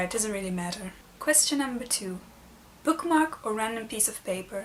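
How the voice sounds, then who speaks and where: A woman with a non-native accent, fairly high in pitch, at a moderate pace with lively intonation. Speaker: book vlogger. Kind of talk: casual vlog tag video.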